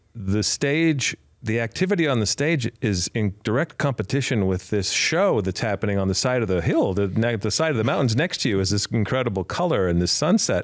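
A man with a normal speaking voice, medium pitch and lively intonation, hardly any pauses, very even loudness, and a dry, close sound with no echo. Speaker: podcast host. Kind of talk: casual interview.

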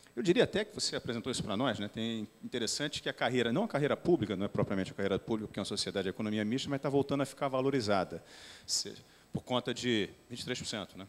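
Ordinary pitch variation marks this man's very fast speech. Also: medium pitch for a man. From Brazil, outside São Paulo. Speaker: company president; company president on panel. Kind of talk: panel discussion. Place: hall. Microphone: handheld.

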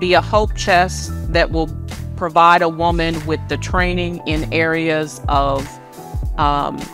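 Over clear music in the background, a woman speaks at a very slow pace, the sound dry with no echo. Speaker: author and minister. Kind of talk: book promotion talk. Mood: warm, earnest. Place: office. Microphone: lapel.

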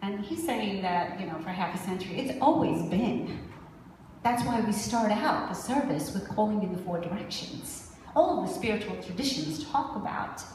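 A woman's voice carries audible room echo, with light background noise underneath. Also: moderate pace. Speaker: minister giving a message. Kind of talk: sermon. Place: church.

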